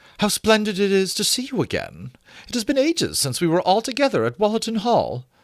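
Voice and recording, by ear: A man does a put-on character voice at a high pitch, moving at a fairly quick pace with very wide pitch swings in a very clean recording with a silent background.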